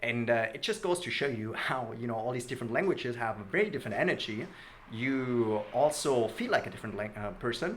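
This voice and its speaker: Through noticeable background noise, a man speaks at a medium pitch. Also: ordinary pitch variation. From Germany. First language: German. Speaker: language learning youtuber. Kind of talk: casual vlog talk to camera.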